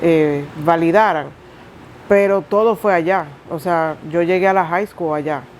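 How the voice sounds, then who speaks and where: A woman talks at a fairly slow pace with fairly even intonation over noticeable background noise. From Dominican Republic. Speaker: interviewee, single mother. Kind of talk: testimony interview.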